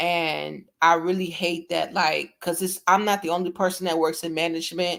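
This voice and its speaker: A woman speaks at a moderate pace in a fairly low pitch with vocal fry and monotone, flat intonation on a very clean recording with a silent background. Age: 20s. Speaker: livestreamer and cooking channel host. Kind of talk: casual livestream chat. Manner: rambling, halting self-corrections.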